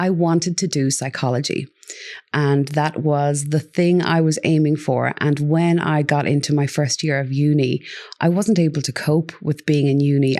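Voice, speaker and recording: A woman with an Irish accent and a very deep, low pitch, against a quiet background. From Ireland. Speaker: parenting coach. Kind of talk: interview.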